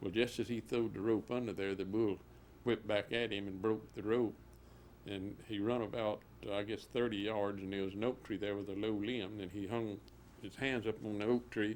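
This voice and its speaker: At a moderate pace, a man with an American accent talks in a fairly low pitch, his intonation monotone and flat. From US South, central Florida. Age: 70s. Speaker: cattle rancher. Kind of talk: oral history interview. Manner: halting.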